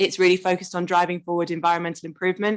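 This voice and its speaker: A woman with an English accent speaks against a quiet background. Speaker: council officer. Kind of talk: presentation. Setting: committee meeting.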